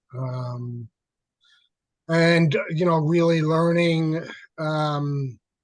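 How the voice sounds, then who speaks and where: A man with a New York accent, fairly high-pitched, very slow, with fairly even intonation. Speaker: peer specialist. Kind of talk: webinar discussion. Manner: halting.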